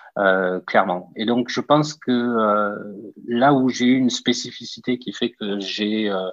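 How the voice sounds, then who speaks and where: The speaker has a Toulouse accent and talks at a very slow pace. Pitch variation is ordinary. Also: man, medium pitch for a man. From southern France, Toulouse. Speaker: entrepreneur, startup founder. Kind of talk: interview. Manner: hesitant, many filler sounds.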